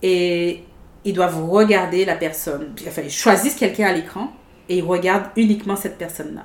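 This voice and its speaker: The speaker is a woman with an ordinary speaking voice at a medium pitch. She moves at a moderate pace with ordinary pitch variation. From Guadeloupe. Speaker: theatre and improv enthusiast. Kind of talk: casual chat.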